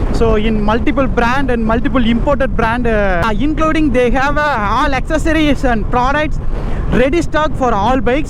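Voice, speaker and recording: Amid noticeable background noise and audible room echo, a man talks at an extremely high pitch and a moderate pace with ordinary pitch variation. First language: Tamil. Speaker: motorcycle vlogger. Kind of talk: casual vlog narration. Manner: hesitant, many fillers.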